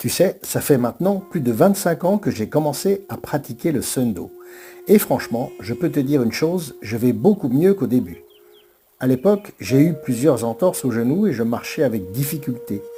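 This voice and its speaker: A man's somewhat breathy, fairly high voice with a dark, mellow tone, very wide pitch swings and a moderate pace. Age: 60s. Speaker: martial arts and breathing teacher. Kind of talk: motivational monologue.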